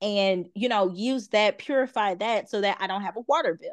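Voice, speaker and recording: A woman's ordinary speaking voice at a fairly high pitch, moderate pace and ordinary pitch variation, over a quiet background. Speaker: gardening content creator. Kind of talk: casual chat.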